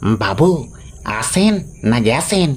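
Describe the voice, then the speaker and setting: A man puts on a character voice at a medium pitch, swinging very widely in pitch. Background noise is clearly heard. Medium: read story. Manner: nervous, stammering.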